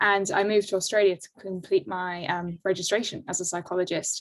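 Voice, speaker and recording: A woman speaks with a London accent. Her pitch is medium and her pace fairly quick. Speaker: organization design consultant. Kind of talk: webinar self-introduction. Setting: video call.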